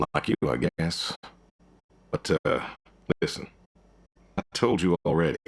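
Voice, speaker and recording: Using a put-on character voice with a very deep, low pitch, a man speaks at a moderate pace with long, frequent pauses. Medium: video game. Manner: terse, dry, laconic.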